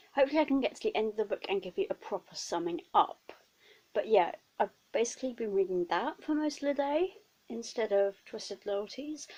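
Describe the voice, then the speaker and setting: In a British accent, a woman speaks at a fairly quick pace. Her high pitch moves in very wide swings. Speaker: book vlogger. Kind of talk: casual vlog.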